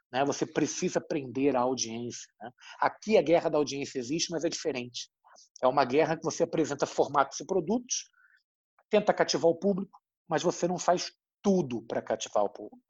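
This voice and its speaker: A man talks at a fairly quick pace. His fairly high voice has lively intonation. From Brazil, Rio de Janeiro. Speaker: journalist. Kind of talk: interview. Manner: halting, many fillers.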